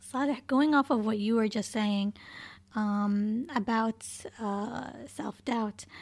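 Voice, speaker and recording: With fairly even intonation and a somewhat breathy, fairly high voice, a woman speaks at a very slow pace on a very clean recording with a silent background. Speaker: podcast co-host. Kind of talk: casual chat.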